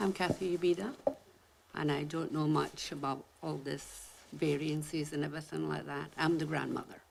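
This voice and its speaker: Noticeable background noise is present. A woman speaks at a moderate pace. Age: 70s. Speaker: resident speaking at public hearing. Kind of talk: public comment at council hearing.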